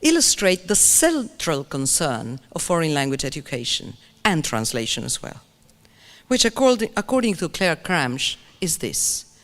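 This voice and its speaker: In a very clean recording with a silent background, a woman with a Spanish accent speaks at a moderate pace and fairly low pitch, with very wide pitch swings. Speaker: English language teaching expert. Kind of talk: keynote lecture. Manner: animated.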